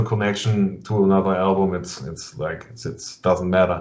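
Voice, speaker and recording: A man with a German accent sounds somewhat breathy, with audible room echo. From Germany. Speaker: metal interviewer. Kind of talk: casual interview. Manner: halting.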